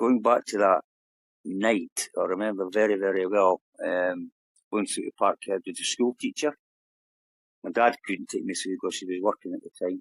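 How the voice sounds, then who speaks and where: At a moderate pace, a man with an Edinburgh accent speaks in a dry, close sound with no echo. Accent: Edinburgh Scottish. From Scotland, Edinburgh (Leith/Muirhouse). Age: 70s. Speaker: retired footballer. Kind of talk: interview.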